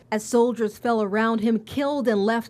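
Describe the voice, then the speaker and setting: A woman's fairly high, fairly slow, normal speaking voice in a very clean recording with a silent background. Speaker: TV reporter. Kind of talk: TV news report narration.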